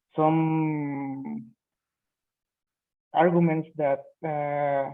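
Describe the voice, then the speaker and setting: Spoken with a Spanish accent, the delivery has fairly even intonation and long, frequent pauses. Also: man. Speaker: student. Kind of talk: speaking exam practice answer. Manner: halting.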